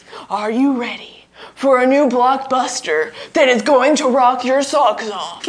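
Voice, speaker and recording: A woman uses a put-on character voice, pitched high. She speaks at a fairly slow pace. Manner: dramatic, booming.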